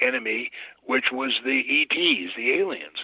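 A man speaks over noticeable background noise. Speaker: interview guest on UFO topics. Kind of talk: live radio interview. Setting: phone-in to radio studio. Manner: halting, many filler pauses.

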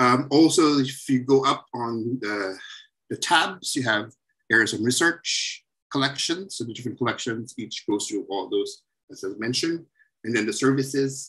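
Against a quiet background, a man with a bright, sharp tone speaks at a medium pitch and moderate pace, showing ordinary pitch variation. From Philippines. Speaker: zoology professor, museum researcher; zoology professor. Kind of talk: webinar lecture.

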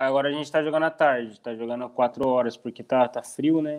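The background stays quiet. A man speaks, his intonation fairly even. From Brazil, interior of Paraná. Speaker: professional footballer. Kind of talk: interview. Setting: video call. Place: home room. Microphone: earbuds.

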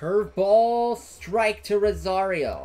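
At a slow pace, a man speaks with a high pitch, very wide pitch swings and a slightly mellow tone.

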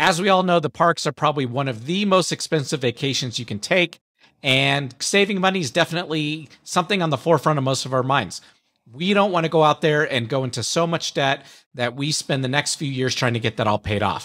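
The man's tone is bright and sharp, with lively intonation. He talks at a fairly quick pace against a quiet background. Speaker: podcast host. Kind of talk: podcast monologue. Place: home room. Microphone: studio mic.

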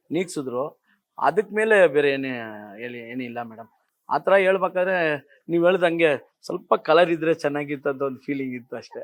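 With big swings in loudness, a man speaks at a fairly high pitch with ordinary pitch variation. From Bangalore, India. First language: Tamil (speaking Kannada). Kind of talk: interview.

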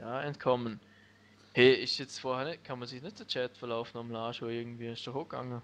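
At a fairly quick pace, a man talks with monotone, flat intonation at a medium pitch, his loudness swinging widely. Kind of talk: let's play commentary.

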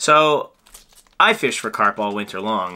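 A man's fairly low voice has a bright, sharp tone and ordinary pitch variation. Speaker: fly-tying channel host. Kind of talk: casual tutorial intro. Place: home room. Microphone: camera far.

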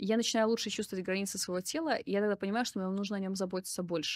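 Against a quiet background, a woman at a medium pitch speaks at a very fast pace with ordinary pitch variation, the sound dry with no echo. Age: 30s. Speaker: psychotherapist and video blogger; video blogger. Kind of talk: personal monologue to camera. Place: home room. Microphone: studio mic.

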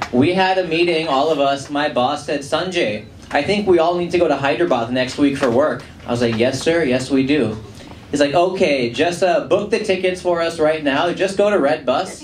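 Using a playful tone, a man with an American accent speaks at a fairly high pitch with ordinary pitch variation, with audible room echo and light background noise. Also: moderate pace. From Los Angeles, USA. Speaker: stand-up comedian. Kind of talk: live stand-up comedy set to a club audience. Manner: casual, playful, conversational, audience banter. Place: stage. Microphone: handheld.

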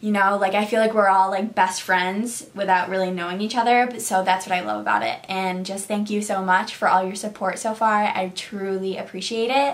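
A woman with an American accent, at a fairly quick pace with hardly any pauses. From Syracuse, New York; New York. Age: 20s. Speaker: beauty YouTuber; beauty vlogger. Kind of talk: casual vlog monologue. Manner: animated. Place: home room. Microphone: phone near.

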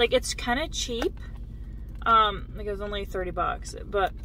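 The sound is dry, with no echo. A woman speaks over light background noise. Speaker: vlogger. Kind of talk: casual vlog chat. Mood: chatty and relaxed. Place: car. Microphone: phone near.

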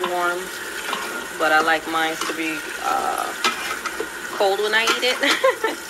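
Loud background noise runs under speech at a very slow pace. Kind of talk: casual cooking tutorial. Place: kitchen. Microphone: phone near.

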